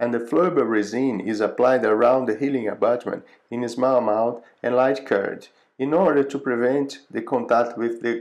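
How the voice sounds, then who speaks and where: A man is speaking. He has a Portuguese accent. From Brazil. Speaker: dental professor. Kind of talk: lecture.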